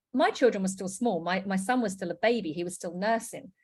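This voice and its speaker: Somewhat breathy speech at a fairly quick pace. The recording is very clean, with a silent background. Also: woman. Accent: British. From UK. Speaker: network marketing presenter. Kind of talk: sales pitch.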